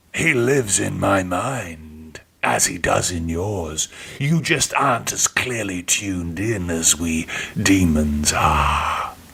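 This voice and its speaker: A man puts on a character voice, pitched very deep and low. He talks at a fairly slow pace. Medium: read story. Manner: mocking, relishing.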